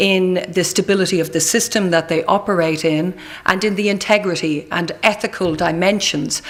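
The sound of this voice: A woman speaks at a moderate pace with fairly even intonation. Her pitch is fairly low.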